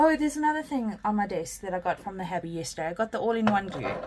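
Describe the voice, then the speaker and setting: Her intonation is lively. The woman speaks quietly. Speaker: craft YouTuber. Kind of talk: casual craft tutorial. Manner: quiet while concentrating; casual, many fillers.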